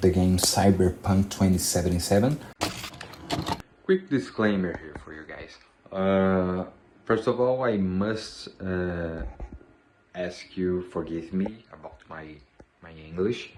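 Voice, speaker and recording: Speaking with a Brazilian accent, a man uses a very deep, low pitch with ordinary pitch variation and big swings in loudness. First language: Portuguese. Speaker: 3D character artist. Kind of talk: tutorial. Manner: halting, many fillers.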